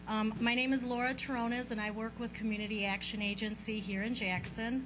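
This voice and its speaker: Over audible room echo, a woman with a fairly high pitch speaks at a fairly quick pace in a monotone, flat delivery. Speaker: housing counselor. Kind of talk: public presentation. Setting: stage with audience.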